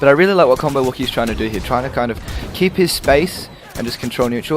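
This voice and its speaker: Music plays in the background. A man with a fairly high pitch and ordinary pitch variation talks at a very fast pace. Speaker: fighting game commentator. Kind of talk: esports play-by-play commentary.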